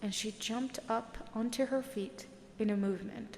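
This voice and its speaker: Soft-spoken and soothing in tone, a woman talks at a fairly slow pace with ordinary pitch variation. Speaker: audiobook narrator. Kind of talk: sleep story. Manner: soft-spoken, soothing.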